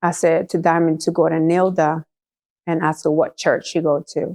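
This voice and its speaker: A woman with a Puerto Rican accent speaks at a fairly slow pace in a fairly low, dark, mellow voice. The sound is dry and close, with no echo. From Puerto Rico. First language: Spanish. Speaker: church member giving testimony. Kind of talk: testimony. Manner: halting.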